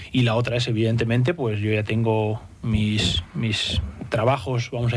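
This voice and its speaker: A man with a medium pitch speaks at a moderate pace in a normal speaking voice. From Spain, Basque Country (San Sebastián). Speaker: football sporting director. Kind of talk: radio interview. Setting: studio.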